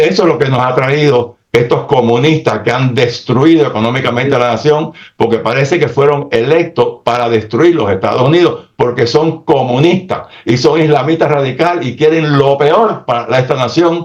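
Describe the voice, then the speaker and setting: Animated in tone and somewhat breathy, a man talks at a moderate pace with hardly any pauses, his fairly high voice showing ordinary pitch variation. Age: 80s+. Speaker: political commentator. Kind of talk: political talk show discussion.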